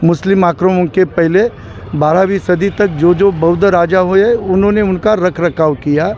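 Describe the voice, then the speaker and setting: Against noticeable background noise, a man speaks with a high pitch and ordinary pitch variation. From Maharashtra, India. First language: Marathi (speaking Hindi). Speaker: Buddhist protester. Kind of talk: street interview. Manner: halting.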